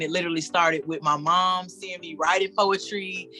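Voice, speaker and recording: Over music in the background, a woman speaks at a fairly low pitch with fairly even intonation. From Tampa, Florida. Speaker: slam poet. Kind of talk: casual interview answer.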